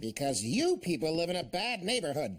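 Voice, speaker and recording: Using a cartoonish character voice, a man speaks fast-ish at a high pitch with very wide pitch swings. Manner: hesitant.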